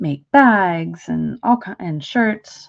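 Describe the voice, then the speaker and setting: This is a woman speaking. Her pitch is fairly low. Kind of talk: casual livestream tutorial chat. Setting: live stream. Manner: relaxed, with frequent fillers.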